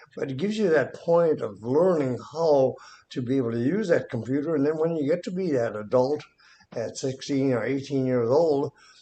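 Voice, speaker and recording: Over noticeable background noise, a man speaks at a moderate pace with a fairly high pitch and ordinary pitch variation. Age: 80s+. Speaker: retired electrician. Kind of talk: casual chat.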